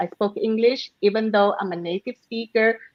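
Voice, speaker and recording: The woman's pitch is fairly high, with ordinary variation. She keeps a moderate pace. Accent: Malaysian. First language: Malay. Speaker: public speaker. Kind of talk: panel discussion.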